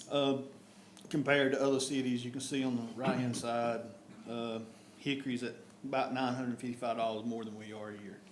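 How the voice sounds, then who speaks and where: In a North Carolina accent, a man of medium pitch talks at a fairly quick pace with fairly even intonation and long, frequent pauses, amid noticeable background noise and audible room echo. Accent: Southern US (North Carolina). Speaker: town official presenting budget. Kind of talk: budget presentation at council meeting. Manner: fast.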